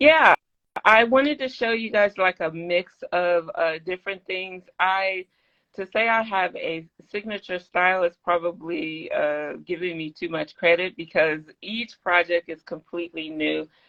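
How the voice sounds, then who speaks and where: Here a woman speaks at a fairly slow pace. Her pitch is medium with ordinary variation. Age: 60s. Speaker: bag maker and pattern designer. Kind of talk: casual interview. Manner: halting, many fillers.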